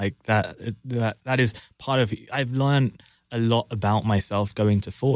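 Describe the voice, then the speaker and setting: On a very clean recording with a silent background, a man speaks at medium pitch and a fairly slow pace. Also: fairly even intonation. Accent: London. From London, England. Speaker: marketing executive. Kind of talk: interview. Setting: studio.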